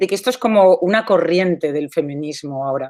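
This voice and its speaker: A woman speaks with very wide pitch swings. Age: 40s. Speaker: artist. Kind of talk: talk. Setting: video call.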